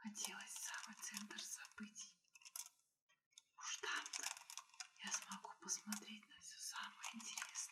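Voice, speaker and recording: A woman whispering at a very slow pace in a soothing tone, with long, frequent pauses and big swings in loudness. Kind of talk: ASMR whispered bedtime story reading. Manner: whispered, soothing.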